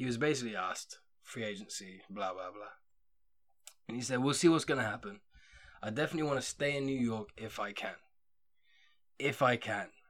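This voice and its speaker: A man with an English accent speaks at a fairly quick pace in a medium pitch, using ordinary pitch variation and long, frequent pauses. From England. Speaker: podcast host. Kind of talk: casual chat. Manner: casual.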